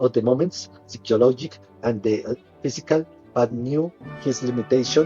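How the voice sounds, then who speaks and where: With music in the background, a man with a Colombian accent speaks at a medium pitch and fairly slow pace, showing ordinary pitch variation. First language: Spanish. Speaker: English learner. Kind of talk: audiobook reading.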